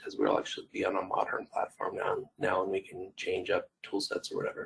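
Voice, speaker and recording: A man talking at a very fast pace. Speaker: software team lead. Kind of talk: user group presentation. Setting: virtual meeting. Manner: halting.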